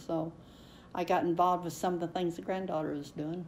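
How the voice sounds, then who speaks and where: A woman with vocal fry talks in a dark, mellow tone with monotone, flat intonation. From Kentucky, eastern. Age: 90s. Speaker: oral history interviewee. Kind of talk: oral history interview. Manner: halting, many fillers.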